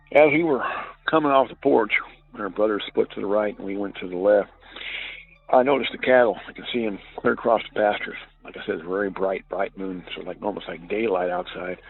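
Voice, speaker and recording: Someone with a Southern US accent talks at a fairly quick pace with big swings in loudness and ordinary pitch variation, against noticeable background noise. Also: man, fairly low pitch for a man. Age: 60s. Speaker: caller. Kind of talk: testimony. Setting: phone call. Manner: halting.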